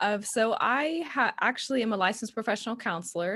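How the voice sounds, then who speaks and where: A woman with a Texan accent speaks with lively intonation on a very clean recording with a silent background. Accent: Texan Southern. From Texas. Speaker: counselor and social media marketer. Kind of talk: podcast interview.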